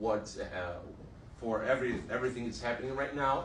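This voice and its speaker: With a Brazilian Portuguese accent, a man speaks over noticeable background noise and audible room echo. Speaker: exiled journalist. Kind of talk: testimony. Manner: halting.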